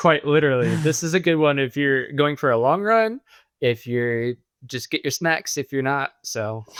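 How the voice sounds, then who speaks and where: At a moderate pace, a man with an American accent uses a normal speaking voice, pitched fairly high with lively intonation, the sound dry and close with no echo. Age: 30s. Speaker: amateur marathon runner. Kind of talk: casual chat.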